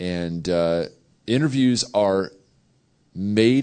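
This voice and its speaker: A man talks in a plain, everyday voice at a fairly low pitch with ordinary pitch variation. The background is quiet. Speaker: theology professor. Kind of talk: panel discussion. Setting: stage with audience.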